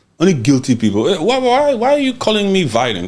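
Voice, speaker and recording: A man talks very fast and loud in an animated tone. His pitch swings very widely. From Central Africa (Congo). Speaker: podcast host. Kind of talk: heated political commentary.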